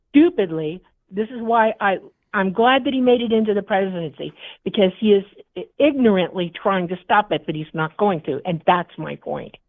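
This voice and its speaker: In an American accent, a woman with medium pitch speaks at a moderate pace. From United States. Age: 60s. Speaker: military veteran, caller in a political debate. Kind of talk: heated debate. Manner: animated, interrupting.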